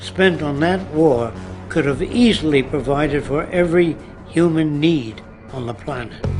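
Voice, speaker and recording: Over music in the background, a man with an American accent speaks at a fairly slow pace and a fairly high pitch. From New York City. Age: 80s+. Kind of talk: scripted monologue to camera.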